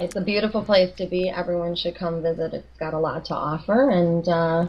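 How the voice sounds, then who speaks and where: This woman has a fairly low pitch and a Chicago accent. She talks at a fairly quick pace. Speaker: clinical nutritionist. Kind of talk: interview.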